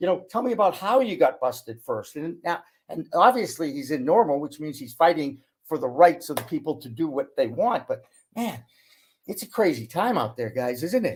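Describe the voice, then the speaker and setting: High-pitched for a man, this voice talks at a moderate pace with very wide pitch swings and big swings in loudness. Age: 60s. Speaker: cannabis media broadcaster, former sportscaster. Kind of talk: casual chat.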